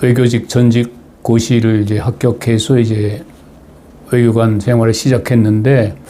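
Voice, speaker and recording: With long, frequent pauses and very even loudness, a man talks at a very slow pace. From Chungcheong, South Korea (Asan, Daejeon). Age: 80s+. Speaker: retired diplomat, political commentator. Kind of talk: personal talk to viewers. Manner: halting, many fillers.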